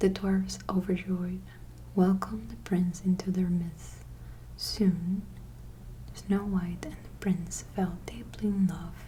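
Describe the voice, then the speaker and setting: Speaking at a very slow pace, the voice stays soft-spoken, with long, frequent pauses. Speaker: ASMR creator. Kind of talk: bedtime story reading.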